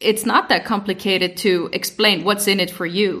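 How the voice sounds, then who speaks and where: Monotone, flat intonation from a woman with an Icelandic accent, medium pitch, moderate pace. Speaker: podcast co-host, former EU institution expert. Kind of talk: casual podcast discussion.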